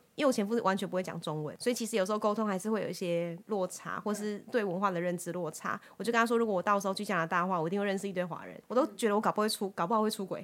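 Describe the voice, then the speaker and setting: A woman at a medium pitch races along at a very fast pace with hardly any pauses and fairly even intonation. The recording is very clean, the background silent. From Taiwan, Taichung. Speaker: headhunter and co-founder of women's academy. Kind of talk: interview.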